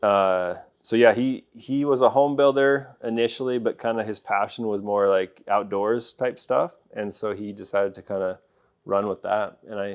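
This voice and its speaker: A man's fairly low pitch with a slight Canadian accent, big swings in loudness and a moderate pace, on a very clean recording with a silent background. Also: ordinary pitch variation. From Alberta, Canada (rural farming community). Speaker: pest control business owner. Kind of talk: interview.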